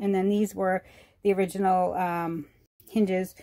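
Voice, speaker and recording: A woman talks over loud background noise. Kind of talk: casual vlog chat. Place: home room. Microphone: phone near.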